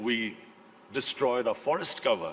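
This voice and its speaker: A man speaks in a fairly high-pitched voice. Noticeable background noise is present. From Pakistan. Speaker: prime minister; former international cricketer. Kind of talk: conference speech.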